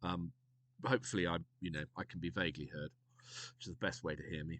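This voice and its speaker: With a British accent, a man talks at a very fast pace in a very deep, low pitch, the sound dry and close with no echo. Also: ordinary pitch variation. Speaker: streamer. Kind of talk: tutorial. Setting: live stream. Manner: soft-spoken; hesitant. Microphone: quiet.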